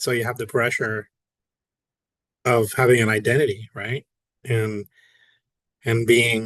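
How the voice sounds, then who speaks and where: Recorded with a dry, close sound and no echo, a man with a Spanish accent talks at a moderate pace and a medium pitch. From Puerto Rico. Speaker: podcast guest. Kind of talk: casual interview answer. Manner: hesitant, many fillers.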